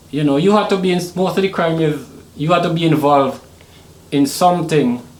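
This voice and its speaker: With an American accent and a high pitch, a man talks with ordinary pitch variation amid audible room echo. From Trinidad and Tobago (born Saint Vincent). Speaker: Caribbean hip hop artist. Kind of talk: podcast interview.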